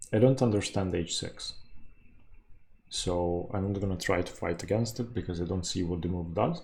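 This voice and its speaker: A man talks at a moderate pace with a very deep, low pitch, somewhat breathy and fairly even in intonation. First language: not English. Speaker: chess YouTuber. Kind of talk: live game commentary. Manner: thinking aloud, halting.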